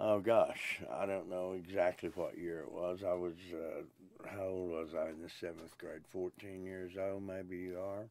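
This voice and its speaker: A man with an Oklahoma accent and a very deep, low pitch speaks fairly slowly in a monotone, flat intonation, with hardly any pauses. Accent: Oklahoma Southern US. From Oklahoma (Pryor/Chouteau, Tulsa). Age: 70s. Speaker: blues musician. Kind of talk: interview. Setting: recording booth. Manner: hesitant, with many fillers.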